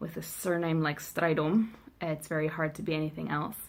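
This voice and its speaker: The recording is very clean with a silent background as a woman speaks in a South African accent. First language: Afrikaans. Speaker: vlogger. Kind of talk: vlog monologue. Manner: casual with many fillers.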